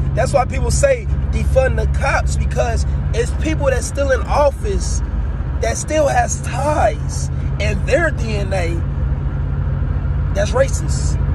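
Against loud background noise, the speech moves at a very slow pace with long, frequent pauses, the sound dry with no echo. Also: man. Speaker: vlogger. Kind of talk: casual vlog chat, social commentary. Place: car. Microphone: phone near.

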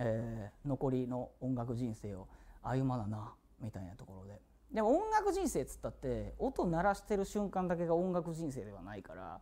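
Moving at a moderate pace, a man's voice shows big swings in loudness. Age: 40s. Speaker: singer streaming a birthday live broadcast; musician hosting his birthday stream. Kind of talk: casual solo livestream talk. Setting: studio. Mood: relaxed, reflective, smiling. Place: studio.

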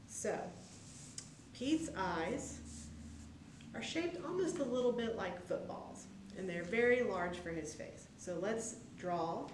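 A woman speaks with long, frequent pauses. Noticeable background noise and audible room echo fill the recording. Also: fairly slow pace. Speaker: presenter. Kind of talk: tutorial. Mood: warm, friendly, upbeat. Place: hall.

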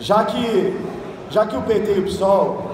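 Amid light background noise and audible room echo, a man speaks at a high pitch with monotone, flat intonation. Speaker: city councillor. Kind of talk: political speech. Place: hall. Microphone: phone near.

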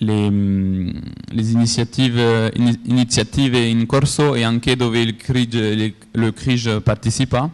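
With a French accent, a man talks at a fairly slow pace, his intonation fairly even. His loudness stays very even, and the background is quiet. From France. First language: French (speaking Italian). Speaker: conference speaker, geographic information coordinator; conference speaker. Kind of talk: conference presentation. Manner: halting, many hesitations. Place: hall.

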